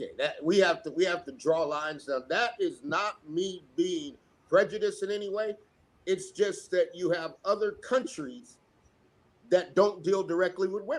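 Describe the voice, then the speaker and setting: The man has a high-pitched voice. His intonation is lively. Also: moderate pace. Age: 60s. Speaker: podcast guest commenting on politics. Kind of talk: casual political discussion. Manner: repetitive, stammering restarts.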